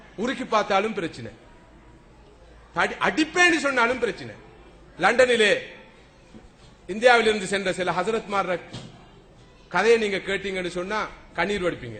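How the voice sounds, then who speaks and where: The speaker sounds animated, using a raised, projected voice. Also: man. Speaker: Islamic preacher giving a lecture. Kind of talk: religious sermon (bayan) to an audience. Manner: animated, oratorical, rhetorical questions.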